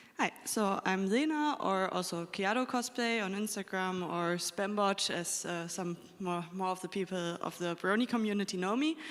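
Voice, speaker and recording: A woman's normal speaking voice at medium pitch, with ordinary pitch variation, a moderate pace and hardly any pauses. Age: 20s. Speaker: cosplayer panelist. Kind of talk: convention panel talk.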